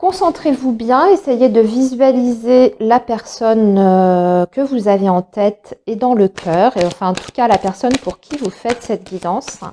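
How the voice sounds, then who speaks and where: The pitch of this woman's voice is fairly high. She talks very slowly. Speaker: tarot card reader. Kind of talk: tarot reading for viewers. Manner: hesitant, many fillers.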